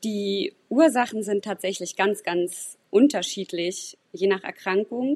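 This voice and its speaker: Speaking at a very slow pace with hardly any pauses, a woman has medium pitch and ordinary pitch variation. The sound is dry and close with no echo, against a quiet background. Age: 30s. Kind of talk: podcast interview.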